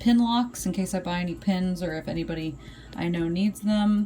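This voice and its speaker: The woman's voice sits at a medium pitch and sounds somewhat breathy. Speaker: vlogger. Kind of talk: tutorial. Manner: casual, many filler words.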